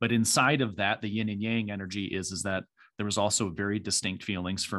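A man talks in a plain, everyday voice with an American accent, pitched fairly low. His pace is fairly quick and his intonation fairly even. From US Midwest, small farming town in Michigan. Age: 40s. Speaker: executive coach and leadership consultant. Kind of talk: casual interview.

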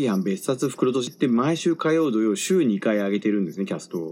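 A man talks fairly quickly, his pitch rising and falling in very wide swings. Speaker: podcast host. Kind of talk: casual solo talk.

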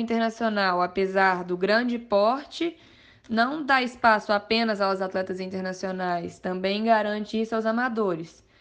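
A plain, everyday voice moves at a fairly slow pace with ordinary pitch variation against a quiet background. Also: woman. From Minas Gerais, Brazil (Mariana). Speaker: amateur mountain bike racer. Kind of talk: podcast interview.

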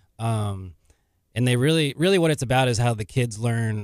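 A normal speaking voice at a moderate pace, dry and close with no echo. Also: man. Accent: American. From Texas. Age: 30s. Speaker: novelist and physical therapist assistant. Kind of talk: radio interview. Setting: radio studio.

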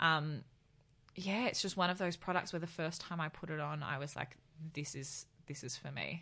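A woman with an Australian accent speaks at a moderate pace in a very deep, low voice with ordinary pitch variation. Her tone is bright and sharp, and the background is quiet. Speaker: beauty writer and influencer. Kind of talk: casual chat. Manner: dry, even tone regardless of excitement.

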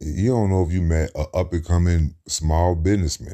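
In an American accent, a man speaks with a very deep, low pitch at a moderate pace. The recording is very clean, with a silent background. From US Midwest, Cincinnati, Ohio. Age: 30s. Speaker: podcaster. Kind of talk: casual monologue.

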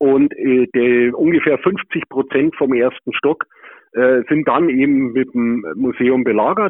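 Speaking fairly slowly, a man uses a normal speaking voice at medium pitch with ordinary pitch variation. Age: 60s. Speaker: museum founder, plumber by trade. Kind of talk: interview. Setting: remote call.

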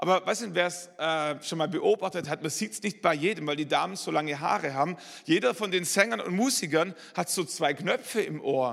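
With hardly any pauses, a man in a Swabian accent talks in an animated tone at a high pitch. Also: lively intonation, moderate pace. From Swabia, southern Germany. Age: 40s. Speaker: pastor. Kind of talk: sermon. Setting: church.

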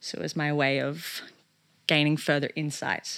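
The recording is very clean, with a silent background. The speaker has an Australian accent and keeps a moderate pace. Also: woman. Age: 20s. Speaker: photographer. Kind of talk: casual chat. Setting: her bedroom at her family home.

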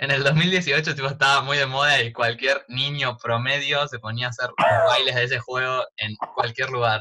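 In a plain, everyday voice, a man speaks at a medium pitch and a moderate pace, his intonation fairly even. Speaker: podcast co-host, hospitality student. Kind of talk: casual chat. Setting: at home during quarantine. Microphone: audio problems.

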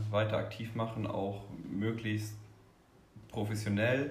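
A man speaks very slowly at a fairly low pitch, in a monotone, flat intonation. Audible room echo and noticeable background noise surround him. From Rhineland-Palatinate, Ahr valley. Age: 20s. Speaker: cheerleader, engineer. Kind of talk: interview.

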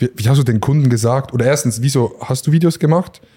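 A man's very fast, somewhat breathy delivery, medium in pitch with ordinary pitch variation and a dark, mellow tone. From rural Switzerland. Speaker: podcast host. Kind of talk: casual chat. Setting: barber shop.

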